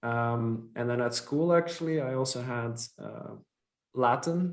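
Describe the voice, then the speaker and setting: Speaking with a Dutch accent, a man uses a medium pitch with ordinary pitch variation. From Belgium (Flanders). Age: 30s. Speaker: company founder and CEO. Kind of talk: podcast interview. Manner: hesitant, many fillers.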